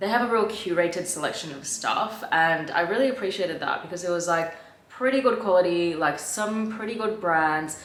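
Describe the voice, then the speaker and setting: Audible echo from the room and noticeable background noise are both present in this clip. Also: woman. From Australia. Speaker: fashion vlogger. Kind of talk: try-on haul vlog. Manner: casual, filler-heavy.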